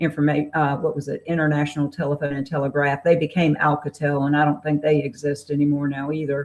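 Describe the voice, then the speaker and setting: A woman speaks with a Southern US accent. Her pitch is very deep and low. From US South, Raleigh, North Carolina. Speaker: novelist. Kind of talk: interview.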